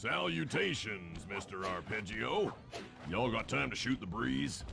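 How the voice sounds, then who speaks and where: A put-on character voice with a drawling rural American accent, at a moderate pace, over clear background noise. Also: man, very deep, low pitch for a man. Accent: rural American drawl. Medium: video game. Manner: folksy, drawling.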